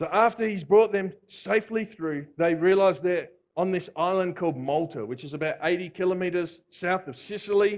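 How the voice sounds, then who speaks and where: In an Australian accent, a man talks with an animated tone at a high pitch and a moderate pace, with ordinary pitch variation and hardly any pauses. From Australia (Victoria). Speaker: visiting preacher. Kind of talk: sermon. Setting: church. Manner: animated, conversational.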